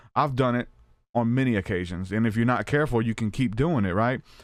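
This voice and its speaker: A man with an American accent and an ordinary speaking voice, at a fairly quick pace with ordinary pitch variation, over a quiet background. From US South. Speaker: podcast host. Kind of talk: interview. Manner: casual.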